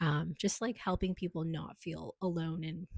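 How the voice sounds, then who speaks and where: Speaking at a fairly slow pace with a Canadian accent, a woman's somewhat breathy voice sits fairly low in pitch, captured with a dry, close sound and no echo. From Canada. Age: 20s. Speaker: student and doula. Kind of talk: casual vlog monologue. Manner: hesitant, many fillers.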